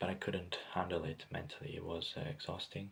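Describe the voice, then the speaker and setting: Very deep and low in pitch, a man talks at a very fast pace with ordinary pitch variation. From Greece. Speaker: vlogger. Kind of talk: personal monologue. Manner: halting, many fillers and repetitions.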